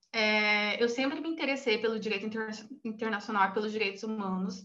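With audible room echo, a woman talks at a moderate pace in a fairly high pitch. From Brazil, Cuiabá. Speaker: human rights researcher. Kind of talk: interview.

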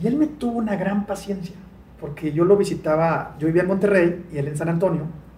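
Pitch moves in an ordinary way, and audible room echo surrounds the voice. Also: man, high pitch for a man, fairly quick pace. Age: 40s. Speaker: sales expert and author. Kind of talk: interview.

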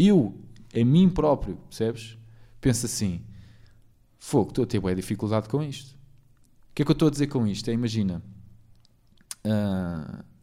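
A man with a European Portuguese accent, medium pitch, a dark, mellow tone and lively intonation, at a moderate pace with long, frequent pauses, on a very clean recording with a silent background. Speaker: podcast host. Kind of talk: casual chat.

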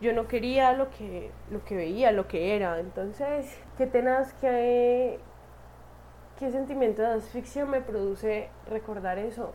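Very slowly, a woman talks in a fairly high pitch. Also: ordinary pitch variation. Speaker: podcaster. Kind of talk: personal monologue. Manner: casual, halting with fillers.

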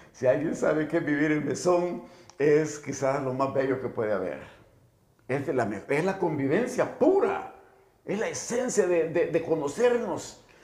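A man with a fairly high pitch speaks slowly, with lively intonation. Audible room echo and noticeable background noise fill the recording. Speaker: political activist and former teacher. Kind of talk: casual chat. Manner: halting.

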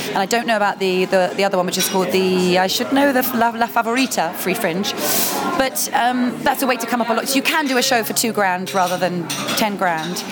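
At a fairly quick pace, a woman speaks in a medium pitch, with audible room echo and noticeable background noise. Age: 30s. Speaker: cabaret performer. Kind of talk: casual chat. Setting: noisy coffee shop.

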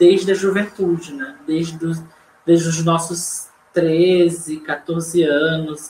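There's noticeable background noise as a man talks very slowly in a high pitch with monotone, flat intonation. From Fortaleza, Ceará, northeast Brazil. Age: 30s. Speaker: poet and community librarian. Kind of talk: online panel discussion.

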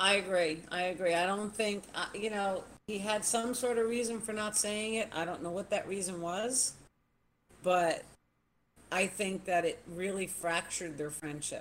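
A plain, everyday voice from a woman, medium in pitch, with ordinary pitch variation at a moderate pace. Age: 60s. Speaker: former reality show contestant. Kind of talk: casual chat.

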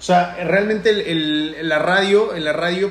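A man speaks with ordinary pitch variation. Audible room echo and noticeable background noise come through. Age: 30s. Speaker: radio announcer. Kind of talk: casual chat.

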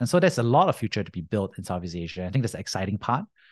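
A man's fairly low-pitched voice with an American accent and ordinary pitch variation, dry and close with no echo over a quiet background. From Singapore. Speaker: venture capital investor. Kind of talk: interview. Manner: casual, many fillers.

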